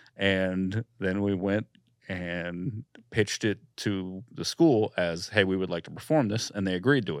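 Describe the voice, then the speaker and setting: A man with an American accent speaks in a normal speaking voice, fairly low in pitch with ordinary pitch variation, at a fairly slow pace. The recording is very clean with a silent background and a dry, close sound with no echo. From Florida, Daytona Beach. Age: 30s. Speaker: comedian. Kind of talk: casual chat.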